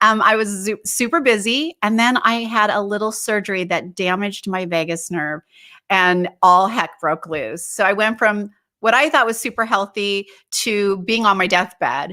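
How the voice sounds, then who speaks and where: A woman's bright, sharp tone at medium pitch, with ordinary pitch variation, a moderate pace, and a very clean recording over a silent background. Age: 60s. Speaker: holistic wellness advocate, former interior designer. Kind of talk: interview conversation.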